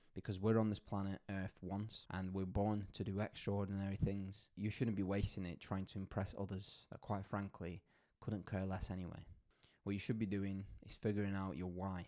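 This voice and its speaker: A man speaks at a moderate pace in a fairly low pitch. His tone is dark and mellow. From Poland, then UK from age seven. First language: Polish. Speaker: marketing agency owner, motivational YouTuber. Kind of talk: motivational talk to camera. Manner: animated.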